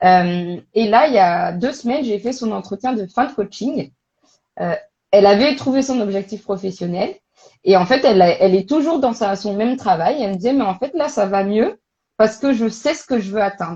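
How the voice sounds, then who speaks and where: A woman speaks at a moderate pace in a fairly high pitch, her tone dark and mellow and her intonation lively. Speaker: career coach and recruitment expert. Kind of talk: casual interview on a live stream. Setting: online live stream. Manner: loud; animated, hesitant with many fillers.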